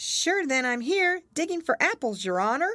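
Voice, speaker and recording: The voice is a put-on character voice pitched high. It sounds squeaky. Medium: read story. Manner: deferential, says your honor.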